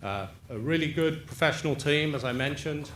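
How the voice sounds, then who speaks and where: A man talks with an English accent and ordinary pitch variation. Room echo is audible in the recording. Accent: English, still noticeable. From England. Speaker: property developer. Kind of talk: public presentation.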